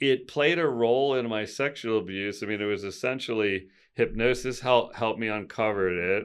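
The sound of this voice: A man talks in a clear, smooth tone, with ordinary pitch variation. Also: fairly low pitch for a man, moderate pace.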